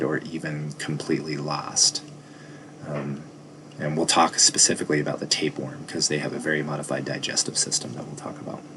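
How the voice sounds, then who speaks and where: At a fairly quick pace, a man talks in a very deep, low voice over noticeable background noise. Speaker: biology teacher. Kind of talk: lecture. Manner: fast.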